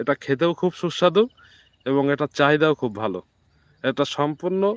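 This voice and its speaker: A man with a normal speaking voice talks at a fairly high pitch with ordinary pitch variation, the sound dry and close with no echo. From Bangladesh, Jessore. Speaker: farm vlogger. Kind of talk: live stream commentary. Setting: outdoors in a field.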